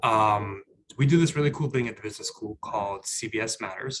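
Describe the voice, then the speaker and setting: Here a man speaks with an American accent at a medium pitch. His pace is fairly quick. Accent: New York Bronx accent, varies in strength. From New York, the Bronx. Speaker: business school staff member, panelist. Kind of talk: panel discussion. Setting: video call. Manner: loud; halting, repeats words.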